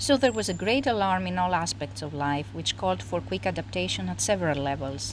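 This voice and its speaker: A woman with a Greek accent speaks at a fairly quick pace with hardly any pauses, her very deep, low voice full of vocal fry and very wide pitch swings. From Greece. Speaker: psychologist. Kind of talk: interview. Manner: formal.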